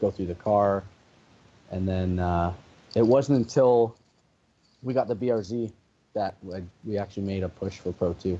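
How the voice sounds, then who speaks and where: A man with a Canadian accent, a fairly low pitch and a dark, mellow tone, at a moderate pace with ordinary pitch variation and long, frequent pauses. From Canada. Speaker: drift racing driver. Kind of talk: podcast interview answer. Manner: soft-spoken.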